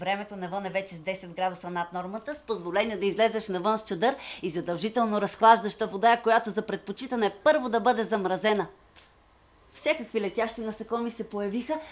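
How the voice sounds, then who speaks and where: A woman speaks at a moderate pace in an unremarkable speaking voice, with medium pitch and ordinary pitch variation. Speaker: actor. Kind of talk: dramatic monologue.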